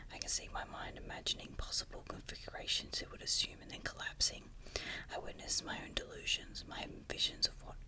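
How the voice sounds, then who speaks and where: Someone whispers at a fairly quick pace, the loudness swinging widely, over noticeable background noise. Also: woman. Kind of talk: whispered ASMR story reading. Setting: recorded at home, with wind and leaves banging on the window in the background. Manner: whispered, soft.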